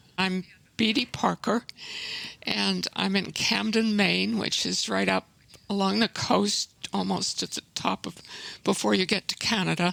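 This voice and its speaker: Slowly and with long, frequent pauses, a woman speaks at a fairly low pitch with vocal fry and very wide pitch swings, the sound dry and close with no echo. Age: 80s+. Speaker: environmental activist. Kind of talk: interview.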